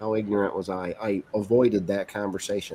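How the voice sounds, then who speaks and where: Speaking with a New England accent, a man uses a fairly low, dark, mellow voice at a moderate pace. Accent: Yankee (New England). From Vermont (Bennington). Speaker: gubernatorial candidate. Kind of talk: casual interview.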